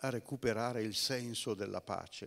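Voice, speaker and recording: Moderate pacing from a man, set against a quiet background. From northern Italy, Bergamo; Italy. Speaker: theology speaker; speaker. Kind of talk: lecture. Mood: calm, reflective. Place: stage.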